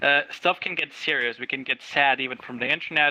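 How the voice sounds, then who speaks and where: In a dry, close recording with no echo, a man with a non-native accent speaks fairly quickly in a fairly high voice with a bright, sharp tone. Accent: learned English accent, non-native. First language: not English. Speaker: talk show co-host, former community manager. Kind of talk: casual discussion.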